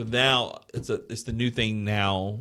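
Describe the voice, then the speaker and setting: The speaker has an Alabama accent and fairly even intonation. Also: man. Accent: Southern US (Alabama). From US South, Mobile area of Alabama. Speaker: podcast co-host. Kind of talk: casual chat. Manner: casual, conversational.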